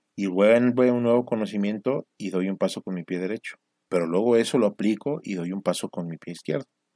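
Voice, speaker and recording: Fairly low-pitched male speech with a dark, mellow tone, ordinary pitch variation and a fairly quick pace, in a dry, close sound with no echo against a quiet background. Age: 40s. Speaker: entrepreneur podcaster. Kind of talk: solo monologue podcast.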